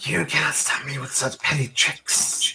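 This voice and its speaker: A man puts on a character voice that is raspy and hissing, with a menacing tone. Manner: hissing, menacing, disdainful.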